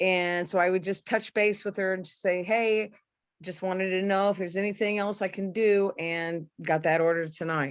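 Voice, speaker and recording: An unremarkable speaking voice at a moderate pace, with fairly even intonation over a quiet background. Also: woman, medium pitch for a woman. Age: 60s. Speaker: skincare and supplement seller. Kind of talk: casual role play testimony.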